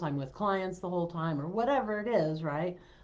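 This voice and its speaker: With a normal speaking voice, a woman talks at a moderate pace in a fairly low pitch with ordinary pitch variation. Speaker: business coach. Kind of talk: live stream talk. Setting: live stream.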